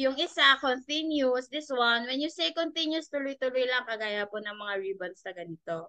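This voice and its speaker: Pitching her voice high, a woman swings it across a very wide range. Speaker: business founder giving product demo. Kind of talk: tutorial. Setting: video call with screen share.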